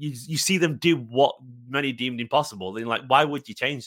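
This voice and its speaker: With a Manchester accent, a man talks at a fairly quick pace in a fairly high pitch, his tone bright and sharp and his intonation lively, in a very clean recording with a silent background. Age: 30s. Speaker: football fan. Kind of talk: casual interview. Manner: animated.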